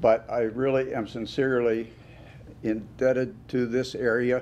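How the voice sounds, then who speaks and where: Medium-pitched male voice, monotone and flat in intonation. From western Pennsylvania. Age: 80s+. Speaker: award recipient, construction businessman. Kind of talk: acceptance speech. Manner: halting.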